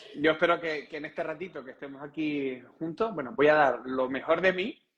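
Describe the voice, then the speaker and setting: A man with a Canarian accent speaks at a fairly high pitch with ordinary pitch variation. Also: fairly quick pace. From Canary Islands, Gran Canaria. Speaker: breathing and meditation instructor. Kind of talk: casual interview chat.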